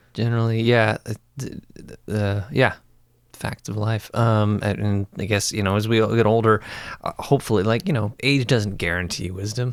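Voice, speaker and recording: The recording is very clean with a silent background as a man speaks at a moderate pace in a fairly low pitch. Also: fairly even intonation. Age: 40s. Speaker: puppeteer and circus performer. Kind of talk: casual chat. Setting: indoors beside a window. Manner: halting.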